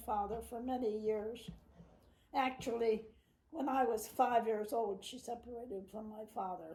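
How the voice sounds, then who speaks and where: A woman's fairly high voice in an American accent, dark and mellow in tone, fairly even in intonation, with audible room echo. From New Jersey, Trenton area (US). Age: 90s. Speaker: great-grandmother interviewee. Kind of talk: family interview. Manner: halting, with hesitations.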